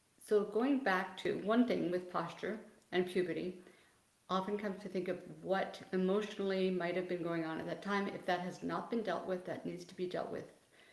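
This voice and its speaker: A woman at a moderate pace and medium pitch with fairly even intonation, amid noticeable background noise and audible room echo. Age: 60s. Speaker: physical therapist. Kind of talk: livestream Q&A. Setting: video livestream. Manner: loud.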